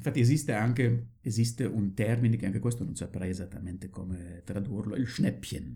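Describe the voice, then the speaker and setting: Somewhat breathy and dark, mellow in tone, a man talks at a fairly quick pace with hardly any pauses. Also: fairly low pitch for a man, ordinary pitch variation. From Germany, Dortmund area. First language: German (speaking Italian). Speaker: retired psychiatrist. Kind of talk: casual chat.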